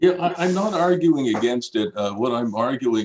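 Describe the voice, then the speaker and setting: A man is speaking. His intonation is lively. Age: 60s. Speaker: property developer. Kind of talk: public meeting testimony. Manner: halting, many fillers.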